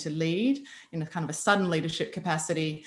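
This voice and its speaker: Fairly quick and with ordinary pitch variation, a woman speaks in an Australian accent. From Australia, Byron Bay hinterland. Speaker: army veteran. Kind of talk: interview conversation.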